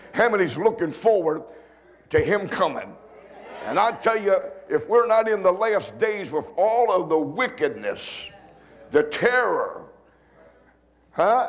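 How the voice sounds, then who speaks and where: A man at a high pitch, fairly slow, with lively intonation and long, frequent pauses. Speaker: pastor. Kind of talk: sermon. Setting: church. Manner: emphatic Pentecostal preaching, repeating lines for punch; calls for congregation response, rising into rhythmic exclamations. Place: church. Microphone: lapel.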